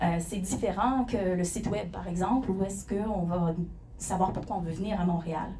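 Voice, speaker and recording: Amid noticeable background noise and audible room echo, a woman with a medium pitch and ordinary pitch variation talks at a moderate pace. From Quebec. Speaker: company founder and CEO. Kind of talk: conference presentation. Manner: hesitant, many fillers.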